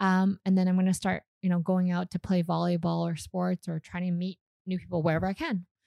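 A woman with a slight Canadian accent talks at a fairly quick pace in a dark, mellow tone, fairly low in pitch and monotone, flat in intonation, with a dry, close sound and no echo. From Canada; Calgary, Canada. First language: Vietnamese. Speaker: startup founder and CEO. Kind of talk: casual interview chat.

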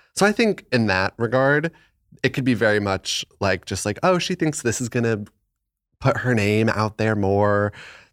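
A plain, everyday voice with an American accent moves at a moderate pace with lively intonation, in a very clean recording with a silent background and a dry, close sound with no echo. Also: man, medium pitch for a man. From Arizona. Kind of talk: casual chat. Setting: home studio.

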